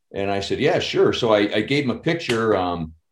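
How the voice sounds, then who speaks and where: A man with an American accent speaks in a normal speaking voice at a medium pitch, his intonation lively and his pace fairly quick, on a very clean recording with a silent background. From Chicago. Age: 50s. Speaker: actor and stuntman. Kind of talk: casual chat.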